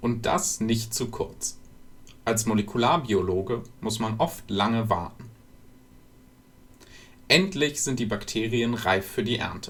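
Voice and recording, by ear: A man with lively intonation at a slow pace, broken by long, frequent pauses. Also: medium pitch for a man, fairly bright tone.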